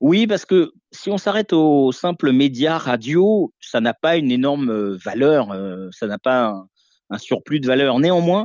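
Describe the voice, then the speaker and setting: With lively intonation, the man talks in a fairly high voice. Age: 40s. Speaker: radio host. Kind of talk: interview. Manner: halting.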